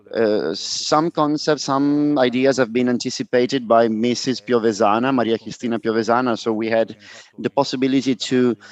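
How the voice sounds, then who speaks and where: Spoken at a moderate pace in a Roman accent, the delivery keeps a fairly even intonation. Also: man. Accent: Italian (Roman). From Italy, Rome. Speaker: panel moderator. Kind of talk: conference moderation. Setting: live conference with audience. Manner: hesitant, many fillers.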